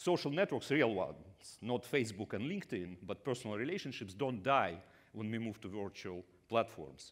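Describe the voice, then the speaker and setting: With a Russian accent, a man at a medium pitch talks at a fairly quick pace on a very clean recording with a silent background. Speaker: business school professor. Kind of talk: conference talk. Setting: stage with audience. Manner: halting, many fillers.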